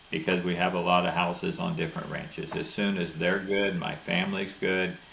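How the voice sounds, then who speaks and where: A man with an American accent talks at a moderate pace in a very deep, low pitch with ordinary pitch variation. Noticeable background noise and audible room echo surround him. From Florida. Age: 70s. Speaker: cattle rancher. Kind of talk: interview.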